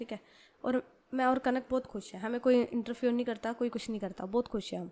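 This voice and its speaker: This woman has a high pitch. Her intonation stays fairly even. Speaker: storyteller narrating a serialized audio story. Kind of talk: casual story retelling. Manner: conversational, informal.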